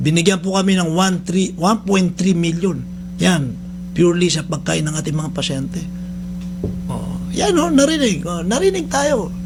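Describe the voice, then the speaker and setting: Loud and high-pitched, a man talks at a moderate pace amid noticeable background noise and audible room echo. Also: ordinary pitch variation. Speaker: radio host and rehab center head. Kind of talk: radio talk show monologue. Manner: loud, high-pitched; halting, many fillers.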